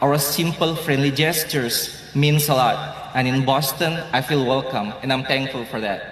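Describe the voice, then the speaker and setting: A man with an Indonesian accent at a moderate pace, fairly even intonation, audible room echo and noticeable background noise. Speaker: law graduate student. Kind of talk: graduation speech.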